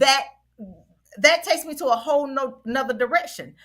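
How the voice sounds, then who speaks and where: The voice is raised and projected, energetic, with a bright, sharp tone and ordinary pitch variation. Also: woman. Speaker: panelist. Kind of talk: casual chat. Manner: loud.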